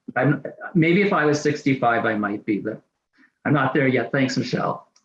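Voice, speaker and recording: In an unremarkable speaking voice, a man of medium pitch talks at a moderate pace with ordinary pitch variation. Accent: Canadian. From Canada, Saskatchewan (Saskatoon). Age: 60s. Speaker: person with chronic pain sharing lived experience. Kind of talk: testimony.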